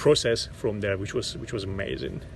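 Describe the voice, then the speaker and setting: Audible room echo surrounds a man speaking with a Turkish accent. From Turkey. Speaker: actor. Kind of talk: interview monologue. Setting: outdoors in a park. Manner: halting, many repetitions and fillers.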